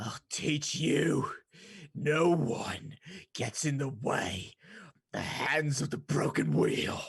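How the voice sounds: Slow, put-on character voice with vocal fry and a slightly husky edge. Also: ordinary pitch variation.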